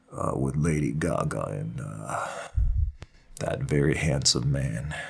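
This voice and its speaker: The speech comes very slowly. Room echo is audible around it. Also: man. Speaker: youtuber, reviewer. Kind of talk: casual vlog monologue. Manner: rambling, casual.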